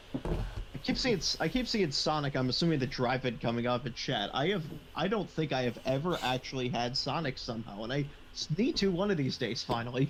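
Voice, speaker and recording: At a fairly quick pace, a man talks in a somewhat breathy voice. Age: 20s. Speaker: live stream host. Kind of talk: casual chat. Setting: live stream. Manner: halting.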